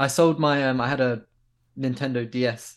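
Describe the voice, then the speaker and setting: Against a quiet background, a man speaks in a southern English accent with fairly even intonation. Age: 20s. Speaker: skateboard filmer. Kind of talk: casual chat.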